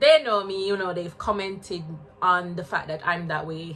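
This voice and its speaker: A fairly low-pitched woman's voice with a Jamaican accent and ordinary pitch variation, amid noticeable background noise. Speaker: spiritual wellness vlogger. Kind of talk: personal vlog testimony. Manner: casual, halting.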